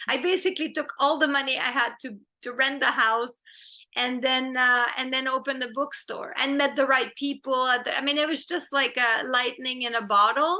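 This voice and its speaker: A woman's high, raised, projected voice, bright and sharp in tone, at a moderate pace with fairly even intonation. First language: French. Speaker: film director and screenwriter. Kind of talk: interview.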